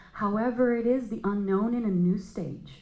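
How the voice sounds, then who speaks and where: Audible room echo is present. It comes off a woman's talking voice. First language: not English. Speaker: astrologer. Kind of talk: panel discussion.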